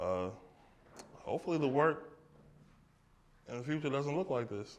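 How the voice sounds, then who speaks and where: A man talks here. His accent is American. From Brooklyn, New York. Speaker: artist. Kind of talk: audience Q&A at gallery talk. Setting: art gallery with small live audience.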